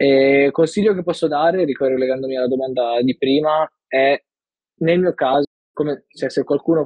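Keeping his intonation fairly even, a man speaks at a fairly quick pace with a fairly high pitch. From northern Italy, Milan. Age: 20s. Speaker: design graduate. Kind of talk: interview. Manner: halting.

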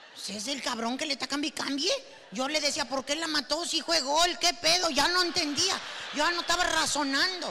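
A woman's high, raised and projected voice at a moderate pace, animated in tone with ordinary pitch variation, over noticeable background noise. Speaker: comedian. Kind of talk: stand-up.

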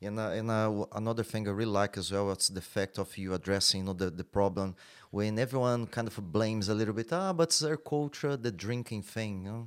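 A man with a Brazilian accent talks at a fairly quick pace with hardly any pauses and ordinary pitch variation, on a very clean recording with a silent background. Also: fairly low pitch for a man. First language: Portuguese. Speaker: podcast host and jiu-jitsu coach. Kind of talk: casual interview.

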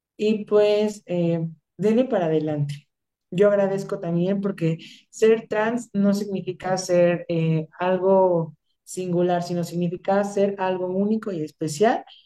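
A woman speaks very slowly with a dark, mellow tone at a medium pitch. Her intonation stays fairly even. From Michoacán, Mexico. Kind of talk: casual interview chat.

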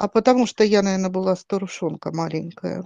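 Recorded dry and close with no echo against a quiet background, a woman speaks at medium pitch and a moderate pace in a dark, mellow tone with ordinary pitch variation. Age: 50s. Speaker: podcast panelist. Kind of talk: casual chat.

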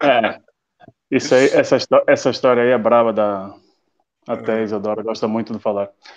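Long, frequent pauses break up a man's monotone, flat delivery. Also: medium pitch for a man, moderate pace. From northern Portugal, Viana do Castelo. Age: 30s. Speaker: IT and logistics professional. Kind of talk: casual interview on a live stream. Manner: halting, repeats words.

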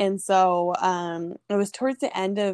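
A woman speaks at a medium pitch with a Californian accent. The background is quiet. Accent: Californian American English. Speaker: former college tennis player and abuse survivor. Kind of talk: personal testimony in an interview. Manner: casual, lots of filler words.

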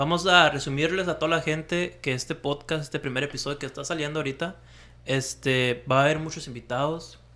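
A man speaks at a fairly high pitch in a bright, sharp tone. He goes at a fairly quick pace with fairly even intonation. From Mexicali, Baja California, Mexico. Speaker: podcast co-host. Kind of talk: casual chat.

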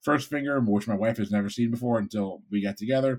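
Speaking at a fairly quick pace with an American accent, a man uses a normal speaking voice at medium pitch with ordinary pitch variation, in a very clean recording with a silent background. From Connecticut (Bridgeport). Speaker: food podcast panelist. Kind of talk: casual chat.

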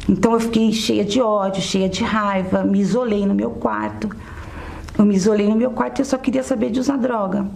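Noticeable background noise sits behind a woman's medium-pitched voice. She speaks at a moderate pace with very even loudness and ordinary pitch variation. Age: 30s. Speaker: businesswoman giving church testimony. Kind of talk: testimony.

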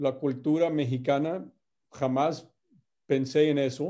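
A very slow, monotone man's voice with flat intonation, a dark, mellow tone, fairly high pitch and an American accent, over a quiet background. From US Midwest, Indiana. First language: English (speaking Spanish). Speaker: company executive. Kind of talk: interview. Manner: halting, many fillers and repeats.

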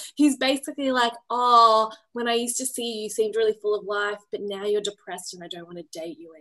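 Speaking at a very fast pace, a woman with an Australian accent has a fairly high pitch and a bright, sharp tone. Her loudness swings widely. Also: ordinary pitch variation, hardly any pauses. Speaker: podcast co-host. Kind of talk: casual chat.

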